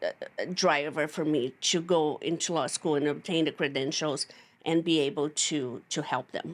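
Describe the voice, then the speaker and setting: A woman with a very deep, low pitch speaks at a moderate pace with fairly even intonation, recorded very cleanly against a silent background. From Brazil. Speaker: CPA and tax attorney. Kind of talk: interview.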